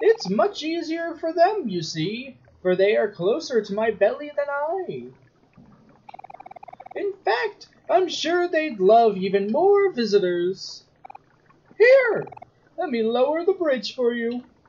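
Doing a put-on character voice, a woman speaks high with very wide pitch swings, at a fairly slow pace with long, frequent pauses. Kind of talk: formal, archaic. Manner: disturbing, falsely polite.

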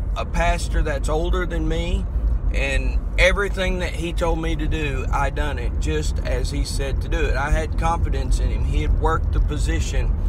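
Loud background noise surrounds a man speaking at a moderate pace in a dry sound with no echo. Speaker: preacher or minister. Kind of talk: casual vlog sermon-like talk. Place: car. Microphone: phone near.

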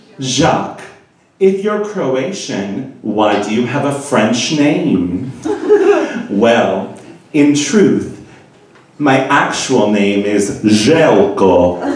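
With audible room echo, a man talks at a very slow pace, his pitch swinging very widely between long, frequent pauses. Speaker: stand-up comedian. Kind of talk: stand-up comedy routine. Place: stage.

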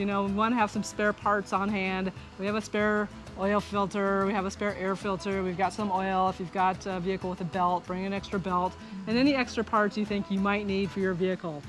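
Over clear music in the background, a woman speaks at a fairly quick pace with fairly even intonation, the sound dry with no echo. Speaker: RV travel vlogger. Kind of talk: casual vlog chat. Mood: friendly, relaxed. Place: garden. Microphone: phone near.

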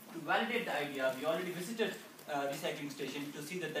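A man speaks with ordinary pitch variation over light background noise, with audible room echo. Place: hall. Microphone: camera far.

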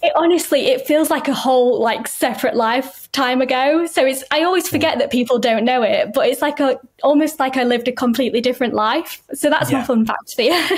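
With a Yorkshire accent, a woman speaks at a high pitch with ordinary pitch variation, very even loudness and a fairly quick pace, hardly pausing against a quiet background. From northern England, Yorkshire. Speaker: writer and consultant with chronic illness. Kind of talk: casual chat. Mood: warm, thoughtful. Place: home room.

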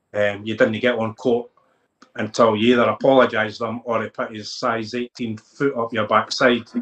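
Speaking at a moderate pace, a man has a Lothians accent. The background is quiet. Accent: Scottish (Lothians). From Scotland, Midlothian (Dalkeith area); Scotland. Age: 40s. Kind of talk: interview. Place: home room. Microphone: video call.

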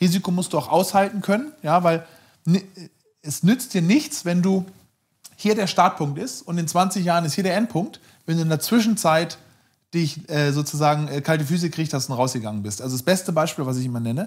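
Against a quiet background, a man with a high pitch and lively intonation speaks at a fairly quick pace, broken by long, frequent pauses. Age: 40s. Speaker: startup founder and CEO, former investment banker; interview guest. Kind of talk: casual interview conversation; interview answer. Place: home room.

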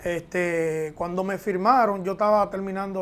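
The man's pitch moves with ordinary variation as he talks. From Dominican Republic, San Isidro near Santo Domingo; Dominican Republic. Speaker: professional baseball catcher; interviewee. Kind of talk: interview. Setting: at his home. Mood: relaxed, reflective. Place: studio. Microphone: lapel.

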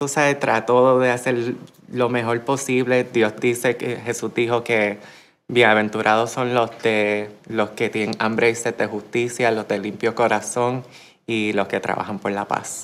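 A woman speaks slowly-ish, at a fairly slow pace, in a very deep, low pitch with monotone, flat intonation. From Puerto Rico. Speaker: human rights activist; interviewee. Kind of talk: interview. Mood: earnest, reflective. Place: studio.

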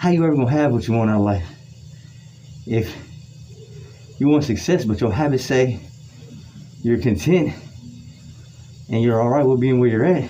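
Lively intonation marks a man speaking at a fairly quick pace. Light background noise sits behind him. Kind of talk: motivational talk during a workout. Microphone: phone near.

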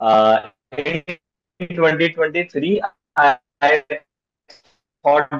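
A man is speaking with ordinary pitch variation. The background stays quiet. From India, Madhya Pradesh. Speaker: school teacher who passed an exam. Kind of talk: interview over video call. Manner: halting. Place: home room. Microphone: video call.

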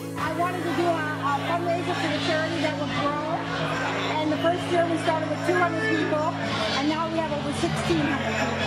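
Loud music plays in the background. Over it, a woman talks at a fairly quick pace. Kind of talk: interview answer. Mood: proud, cheerful. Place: bar. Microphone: lapel.

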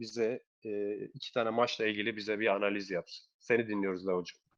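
A man speaks at a moderate pace. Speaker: betting tips channel host. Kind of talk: casual chat.

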